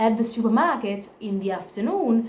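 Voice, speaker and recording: A woman with an Italian accent, a fairly high pitch and a fairly slow pace, with audible room echo. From Italy. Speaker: vlogger. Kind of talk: personal testimony to camera. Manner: halting, self-correcting.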